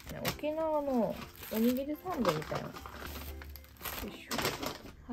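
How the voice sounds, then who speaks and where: At a moderate tempo, a woman's voice comes through with noticeable background noise behind it. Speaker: food vlogger. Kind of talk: casual vlog chat. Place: home room.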